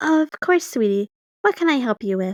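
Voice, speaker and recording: A woman puts on a character voice, high-pitched with very wide pitch swings, at a moderate pace in a dry, close sound with no echo. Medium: read story. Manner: sweet, calls people sweetie.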